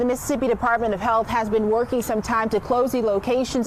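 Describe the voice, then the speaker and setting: A woman talks very fast at a fairly high pitch. Noticeable background noise runs under her voice. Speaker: TV news reporter. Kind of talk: TV news report.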